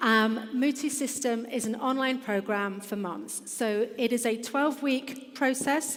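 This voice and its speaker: Speech with an English accent comes with hardly any pauses and fairly even intonation, with audible room echo. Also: woman, high pitch for a woman, fairly slow pace. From England. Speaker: business founder. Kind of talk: conference presentation. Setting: stage with audience.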